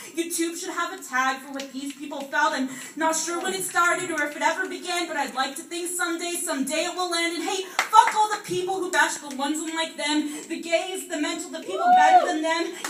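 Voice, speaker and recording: A woman speaks at an extremely high pitch and a fairly quick pace, with fairly even intonation. Her loudness swings widely, and noticeable background noise is present. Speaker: slam poet. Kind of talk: slam poetry performance.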